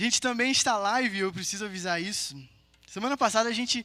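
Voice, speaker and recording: A man speaks in a raised, projected voice with a bright, sharp tone and ordinary pitch variation. The recording is very clean, with a silent background. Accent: Rio de Janeiro. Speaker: preacher. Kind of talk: sermon. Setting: live-streamed church gathering with audience.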